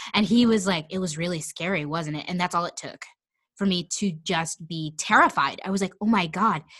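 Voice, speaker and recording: A woman with an American accent has a plain, everyday voice, a fairly low pitch with ordinary variation, and a fairly quick pace. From Kansas City area, US Midwest. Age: 20s. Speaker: actor. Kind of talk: casual chat. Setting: video call from home basement.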